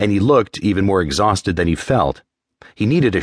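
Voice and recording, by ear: Someone is reading aloud in a natural voice with lively intonation over a quiet background.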